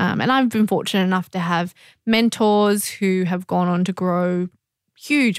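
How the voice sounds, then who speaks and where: At a moderate pace and with fairly even intonation, a woman speaks in an Australian accent in a very clean recording with a silent background. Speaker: media company founder. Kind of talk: interview.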